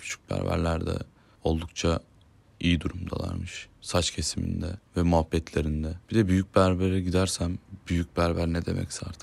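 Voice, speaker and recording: The intonation is monotone and flat, and the pace is moderate. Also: man, very deep, low pitch for a man, very clean recording, silent background. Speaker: podcaster. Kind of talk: casual monologue. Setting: home at night. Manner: calm.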